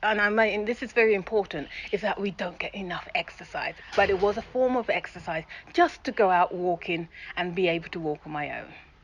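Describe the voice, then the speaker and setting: Fairly quick speech from a woman at medium pitch, ordinary pitch variation, amid noticeable background noise. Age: 60s. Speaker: radio presenter. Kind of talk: interview. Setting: outdoors. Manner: animated.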